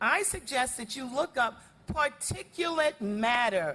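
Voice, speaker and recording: With an American accent, a woman speaks at a high pitch with very wide pitch swings. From New Orleans, Louisiana (Seventh Ward). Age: 70s. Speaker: environmental justice advocate. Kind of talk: public testimony at city council meeting. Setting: city council meeting with audience. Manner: animated.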